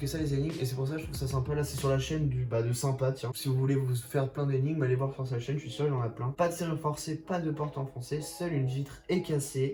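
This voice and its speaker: Very fast, fairly high-pitched male speech with hardly any pauses, ordinary pitch variation and noticeable background noise. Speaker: YouTuber. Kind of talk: casual vlog commentary. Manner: animated.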